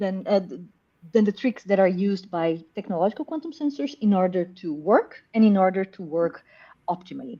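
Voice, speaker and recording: The voice has a Brazilian accent and a dark, mellow tone. It sounds somewhat breathy, with lively intonation. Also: woman. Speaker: professor. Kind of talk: interview.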